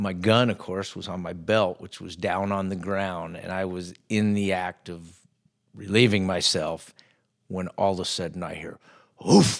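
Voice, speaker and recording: Spoken at a fairly slow pace in a flat, monotone intonation, the voice swings widely in loudness. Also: man, very deep, low pitch for a man. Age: 50s. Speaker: bush pilot and hunting guide. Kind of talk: casual chat. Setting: in person.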